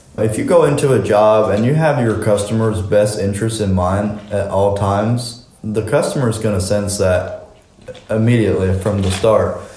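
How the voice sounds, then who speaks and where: Speaking at a moderate pace with fairly even intonation, a man with a fairly low pitch is heard through audible room echo and noticeable background noise. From US Mennonite community. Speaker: construction business owner. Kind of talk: interview.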